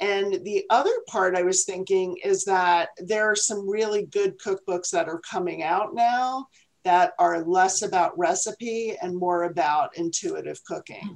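A woman speaks in an unremarkable speaking voice at medium pitch, with fairly even intonation. Her pace is fairly slow, with hardly any pauses. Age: 60s. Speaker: podcast co-host and restaurateur. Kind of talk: casual chat.

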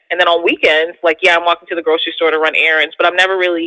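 A woman with an American accent speaks at a fairly low pitch with monotone, flat intonation. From US Northeast, Philadelphia. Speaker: therapist and podcaster. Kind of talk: casual interview chat.

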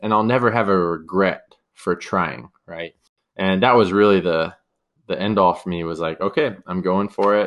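This man has a very deep, low pitch and a Californian accent, with ordinary pitch variation. He talks at a moderate pace against a quiet background. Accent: Californian American. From US West Coast, San Diego, California. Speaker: podcast host, e-commerce business owner. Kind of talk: solo podcast monologue, casual.

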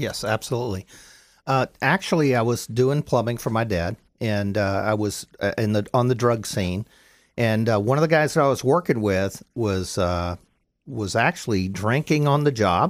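A man with an American accent and a normal speaking voice talks at a moderate pace with medium pitch and lively intonation. The very clean recording has a silent background and a dry, close sound with no echo. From Florida, Pinellas County. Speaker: business owner, plumbing company. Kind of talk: interview testimony. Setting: radio studio.

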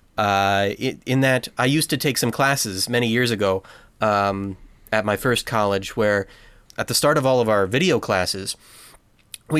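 At a moderate pace, a man with an American accent talks in a normal speaking voice at a medium pitch with ordinary pitch variation. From United States. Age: 20s. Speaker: podcast host, film enthusiast. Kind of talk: casual chat.

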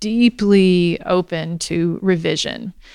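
A woman talks in an unremarkable speaking voice at a medium pitch, her intonation fairly even. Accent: American. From US South, Alabama. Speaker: history professor. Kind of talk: interview. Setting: live event at a university center.

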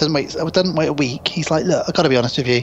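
The speaker has a British accent and ordinary pitch variation. Background noise is noticeable. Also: man. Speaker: podcast co-host. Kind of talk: casual chat. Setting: remote internet call.

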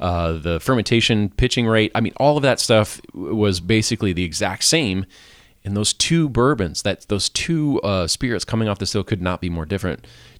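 This man has a plain, everyday voice with fairly low pitch and lively intonation at a moderate pace. The recording is very clean with a silent background, and the sound is dry and close with no echo. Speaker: podcast host and brewing instructor. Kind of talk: casual interview chat.

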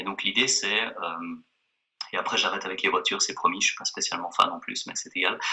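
Speaking fairly quickly, a man lets his volume jump up and down a lot. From Switzerland (Geneva). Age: 30s. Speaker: exercise physiologist and author. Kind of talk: interview.

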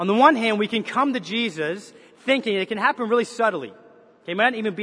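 A man's voice is raised and projected, pitched high with ordinary pitch variation. Noticeable background noise is present. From Canada. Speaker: pastor. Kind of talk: sermon. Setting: church.

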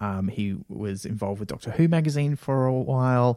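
A man with an Australian accent talks at a moderate pace in a fairly high voice with a dark, mellow tone. The recording is very clean, with a silent background and a dry, close sound with no echo. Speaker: podcast co-producer and actor. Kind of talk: casual chat.

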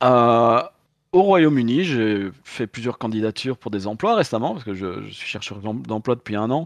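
A man talks at a moderate pace and a medium pitch, with lively intonation. The sound is dry and close with no echo, over a quiet background. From Belgium. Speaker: tabletop game designer. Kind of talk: casual interview chat. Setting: video call from London. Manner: hesitant, repeating words.

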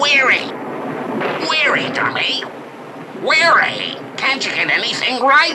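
A put-on character voice at a high pitch moves at a fairly slow pace. Clear background noise is present. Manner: mocking, squawking.

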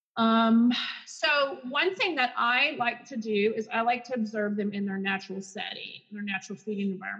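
A woman with an ordinary speaking voice and a fairly high pitch speaks at a moderate pace with lively intonation. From Texas, Garland. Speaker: speech-language pathologist. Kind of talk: casual interview.

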